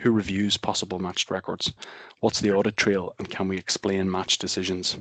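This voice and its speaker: A man speaks at a fairly quick clip in a very deep, low voice with flat, monotone intonation. The sound is dry and close with no echo, over a quiet background. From Northern Ireland, Belfast. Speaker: software company presenter. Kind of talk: webinar presentation. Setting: online webinar.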